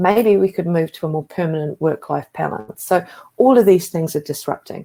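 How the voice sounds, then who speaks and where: A woman talks at a fairly quick pace. Her voice is fairly low-pitched with a dark, mellow tone. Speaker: former health agency executive, conference speaker. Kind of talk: conference talk. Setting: video call.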